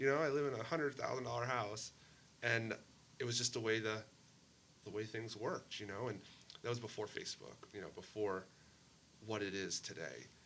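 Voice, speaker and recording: A man with an American accent speaks at a fairly quick pace and a medium pitch, his pitch varying in an ordinary way, with long, frequent pauses and noticeable background noise. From Maine, US Northeast. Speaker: mayor and former police officer. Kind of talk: podcast interview. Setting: sit-down interview.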